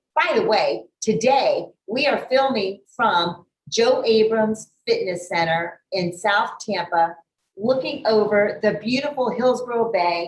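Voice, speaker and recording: An ordinary speaking voice from a woman, fairly high in pitch, with lively intonation. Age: 50s. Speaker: talk show host. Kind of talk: casual interview. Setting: gym overlooking the bay.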